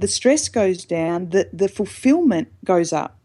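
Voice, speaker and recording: A woman speaks here. Her voice sits at a medium pitch with a dark, mellow tone. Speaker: mindfulness expert. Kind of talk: casual interview.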